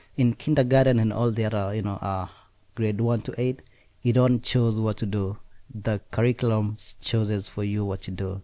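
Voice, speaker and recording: A man with a strong Kenyan accent speaks in a fairly low voice with a dark, mellow tone. His pace is moderate and his intonation fairly even, on a very clean recording with a silent background. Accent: heavy Kenyan. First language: Nandi. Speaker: student. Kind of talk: interview.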